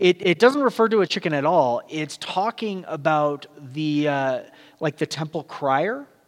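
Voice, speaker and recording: The speaker has a slight Southern California accent and lively intonation, heard as a dry, close sound with no echo. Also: man, fairly high pitch for a man, fairly slow pace. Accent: light Southern California. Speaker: pastor. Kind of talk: sermon. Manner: casual and halting with fillers.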